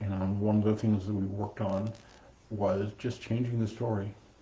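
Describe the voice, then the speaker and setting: The man's voice is dark, mellow and somewhat breathy. He has a fairly low pitch and fairly even intonation. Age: 60s. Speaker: meditation teacher. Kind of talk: dharma talk. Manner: halting.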